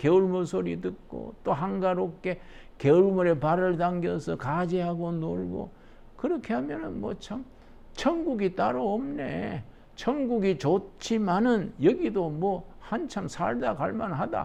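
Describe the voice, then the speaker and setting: A man's high-pitched, dark, mellow voice at a very slow pace, with lively intonation and audible room echo. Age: 80s+. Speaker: pastor. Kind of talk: lecture. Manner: conversational, folksy.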